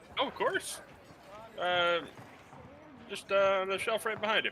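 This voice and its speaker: Doing a put-on character voice, a man talks at a moderate pace in a high pitch with fairly even intonation, with clear background noise behind him. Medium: actual play. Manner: helpful, polite.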